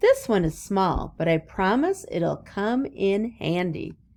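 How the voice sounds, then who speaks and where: In a put-on character voice, the speaker goes at a fairly slow pace with a sing-song lilt. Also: woman, medium pitch for a woman. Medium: read story. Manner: chirpy, sing-song.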